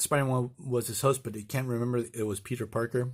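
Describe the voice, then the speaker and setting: The man talks at a moderate pace and a medium pitch. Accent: Spanish. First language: Spanish. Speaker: comic book reviewer. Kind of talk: casual video review. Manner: halting, with many fillers and restarts.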